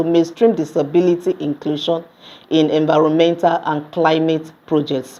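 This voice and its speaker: With a Nigerian accent, a woman speaks at a moderate pace in a fairly low pitch and a dark, mellow tone. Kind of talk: recorded conference presentation. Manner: calm, passionate.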